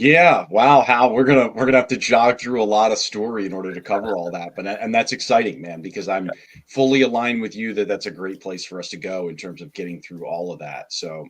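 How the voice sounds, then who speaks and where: A man with an unremarkable speaking voice talks at a fairly quick pace in a fairly low pitch, with hardly any pauses, ordinary pitch variation and big swings in loudness. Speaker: guest sharing testimony. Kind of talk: testimony. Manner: casual.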